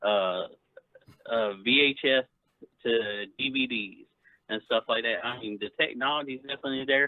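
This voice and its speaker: A man talks with ordinary pitch variation. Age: 40s. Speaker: caller on a gaming livestream. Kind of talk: casual chat.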